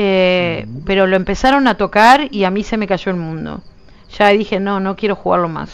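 A woman with a Uruguayan accent, medium pitch, ordinary pitch variation and moderate pace. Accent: Uruguayan Rioplatense Spanish. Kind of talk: casual gameplay livestream chat.

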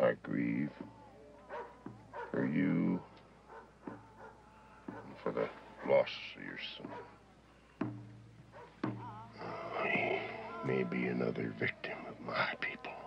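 Clear music plays in the background as a man speaks very slowly with long, frequent pauses. His loudness swings a lot. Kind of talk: film dialogue. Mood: grave, sympathetic. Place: tent.

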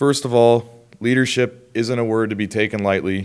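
Against a quiet background, a man talks at a moderate pace. His intonation is fairly even. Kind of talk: prepared speech. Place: hall. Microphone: podium.

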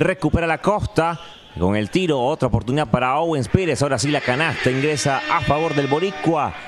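A man's fairly high-pitched voice over noticeable background noise. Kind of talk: live sports commentary, basketball play-by-play. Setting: broadcast over game action. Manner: fast, rapid-fire play-by-play delivery.

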